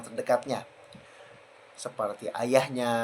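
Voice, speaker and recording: At a moderate pace, a man talks at a medium pitch. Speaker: university student. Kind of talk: class presentation.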